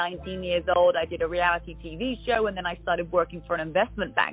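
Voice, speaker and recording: Music plays in the background as a woman talks very fast. Her pitch is fairly low. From southern England. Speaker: fitness trainer and entrepreneur. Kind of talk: interview.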